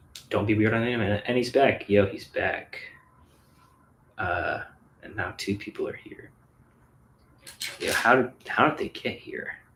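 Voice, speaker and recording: Noticeable background noise surrounds a man speaking at a fairly slow pace. His loudness swings a lot, and his pauses are long and frequent. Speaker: physics streamer. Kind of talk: casual live stream chat while building. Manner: casual, rambling with stutters.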